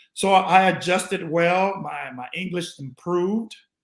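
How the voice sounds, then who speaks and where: A man is speaking. He has a slight Spanish accent. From Panama. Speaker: former pro basketball player. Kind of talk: interview.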